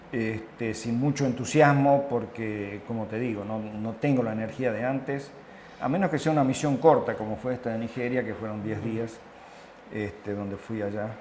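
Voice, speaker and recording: This man's voice sits at a medium pitch, moving at a moderate pace with ordinary pitch variation, and audible room echo surrounds it. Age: 70s. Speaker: international health consultant. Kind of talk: interview. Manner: hesitant, with fillers.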